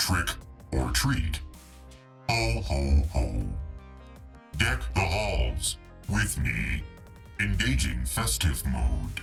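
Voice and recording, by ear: In a put-on character voice, a man speaks with an extremely low pitch, big pitch swings and vocal fry at a very slow pace, with faint music in the background.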